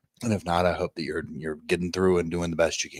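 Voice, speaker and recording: Quietly, a man speaks in a dry, close sound with no echo. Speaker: true crime YouTuber. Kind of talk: casual live stream chat. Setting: at a family member's house. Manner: quiet, hushed as if others might hear.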